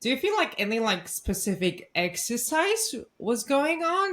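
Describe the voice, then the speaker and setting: The speaker has a non-native accent and a fairly slow pace. Their pitch swings very widely. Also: woman. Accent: foreign. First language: Polish. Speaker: podcast host. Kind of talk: podcast interview.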